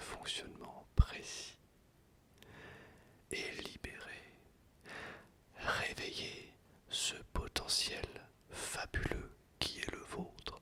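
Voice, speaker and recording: Very slowly, a man is whispering. Background noise is clearly audible behind him. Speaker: ASMR creator. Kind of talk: whispered reading of a self-help book. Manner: whispered; soft-spoken, slow.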